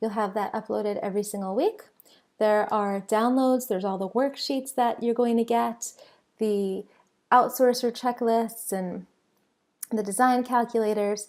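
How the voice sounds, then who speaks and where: This woman's voice sits at a fairly high pitch. Her intonation stays fairly even. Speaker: online business course presenter. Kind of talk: sales webinar. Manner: fast.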